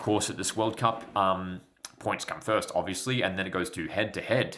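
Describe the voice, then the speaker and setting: Speaking at a moderate pace, a man talks with an Australian accent. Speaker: football YouTuber. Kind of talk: live match commentary and chat. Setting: livestream. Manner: casual, conversational.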